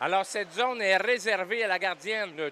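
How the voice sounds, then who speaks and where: A man calls out in a raised, projected voice at a high pitch. His tone is bright and sharp, and his pace fairly slow. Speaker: sports commentator. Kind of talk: live commentary. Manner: halting, many repetitions.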